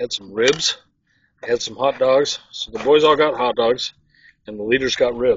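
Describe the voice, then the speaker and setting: A man is speaking. His delivery is fairly slow. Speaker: outdoor cooking channel host. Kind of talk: casual cooking demonstration. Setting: outdoors. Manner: soft-spoken.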